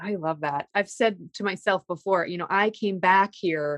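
A woman with a normal speaking voice talks at a medium pitch with ordinary pitch variation. The sound is dry and close, with no echo. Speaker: podcast host. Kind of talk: interview conversation. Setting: recorded over a poor connection.

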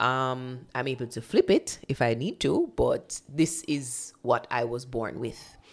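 In a Jamaican accent, a woman with a very deep, low pitch talks in an animated, playful tone at a fairly slow pace. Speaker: radio producer and voice-over artist. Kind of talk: casual interview chat. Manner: animated, playful, laughs often.

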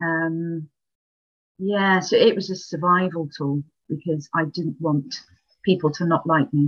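A woman with a Welsh accent speaks at a fairly low pitch and fairly slow pace, with fairly even intonation and long, frequent pauses. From Wales. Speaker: librarian and former coaching client. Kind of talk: casual interview chat.

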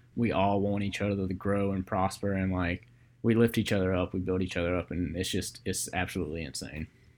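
Talking at a fairly quick pace with fairly even intonation, a man with a very deep, low voice and an American accent is heard on a very clean recording with a silent background. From US South, Georgia (Columbus). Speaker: podcast host, photographer. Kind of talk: casual chat.

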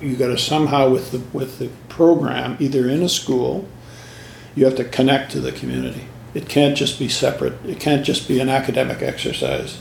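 With noticeable background noise behind him, a man speaks at a fairly quick pace in a Canadian accent. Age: 70s. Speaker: music teacher and choir director. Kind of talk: interview recollection. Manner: halting, many fillers.

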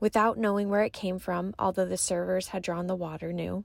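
A woman with an unremarkable speaking voice talks at a moderate pace and ordinary pitch variation, captured in a very clean recording with a silent background. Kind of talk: guided meditation. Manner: gentle, hushed, with pauses.

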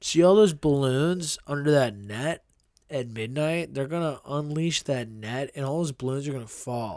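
A man with an American accent has an unremarkable speaking voice, pitched fairly high. He talks at a moderate pace with ordinary pitch variation. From Indiana, Pennsylvania (western Pennsylvania). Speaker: podcast co-host and musician. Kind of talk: casual chat.

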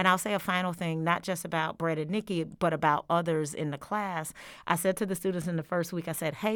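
At a fairly quick pace, a woman talks with fairly even intonation. Her fairly low pitch comes in an ordinary speaking voice. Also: very clean recording, silent background. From Georgia, US South. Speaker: history professor. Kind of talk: interview. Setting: studio on campus.

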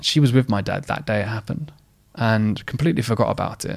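A man with an Essex accent at medium pitch, talking at a very fast pace on a very clean recording with a silent background. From Essex, England. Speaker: mental health advocate and company founder. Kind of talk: interview conversation.

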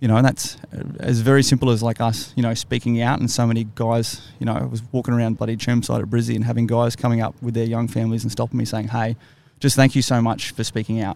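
A man with an Australian accent, medium pitch, monotone, flat intonation and a very fast pace. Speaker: military veteran podcast host. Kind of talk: casual chat.

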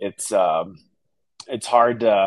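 A man with an American accent and a normal speaking voice, fairly slow in pace, with fairly even intonation. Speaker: real estate agent. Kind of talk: casual interview.

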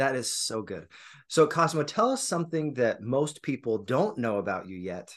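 Sounding enthusiastic, a man speaks at a moderate pace in a fairly high pitch with vocal fry, very wide pitch swings and big swings in loudness. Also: quiet background. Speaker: podcast host. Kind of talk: interview. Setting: video call.

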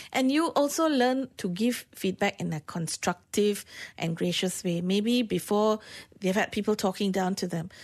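A woman speaks at a medium pitch in a Malaysian accent, with lively intonation at a moderate pace. The background is quiet. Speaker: workplace consultant. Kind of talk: radio interview. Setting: radio studio.

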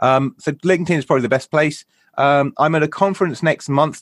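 A man with a British accent, fairly high-pitched, at a moderate pace, with ordinary pitch variation and a dry, close sound free of echo. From Britain. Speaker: UX consultant. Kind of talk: interview. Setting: video call.

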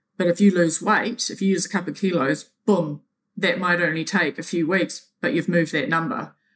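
Delivered fairly quickly, the talking shows ordinary pitch variation. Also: woman, fairly low pitch for a woman. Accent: New Zealand. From New Zealand. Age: 40s. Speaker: triathlete. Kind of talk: interview. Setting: remote call.

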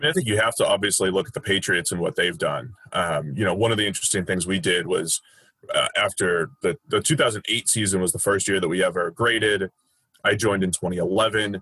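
In a normal speaking voice, a man talks fairly quickly with an American accent at a fairly low pitch. His pitch varies in an ordinary way, and the sound is dry and close with no echo. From Boston, US. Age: 30s. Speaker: football analyst, former baseball player. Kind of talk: podcast interview.

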